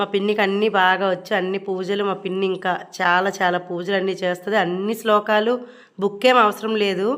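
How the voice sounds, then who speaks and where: A woman's voice at medium pitch delivers everything in a monotone, flat intonation. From Srikakulam, north coastal Andhra Pradesh. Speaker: vlogger. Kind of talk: vlog voice-over narration. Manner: casual, conversational.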